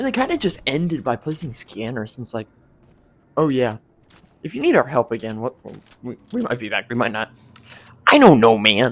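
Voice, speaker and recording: A soft-spoken man at medium pitch talks at a fairly quick pace with ordinary pitch variation. His loudness swings a lot, and he takes long, frequent pauses. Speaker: gaming YouTuber. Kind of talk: video game review. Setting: home recording at night. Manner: halting. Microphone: quiet.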